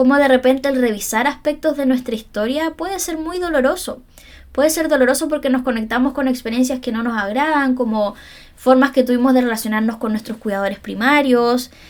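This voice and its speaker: Fairly quick, high-pitched female speech with ordinary pitch variation. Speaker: psychologist and podcast host. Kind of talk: solo podcast monologue. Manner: fast.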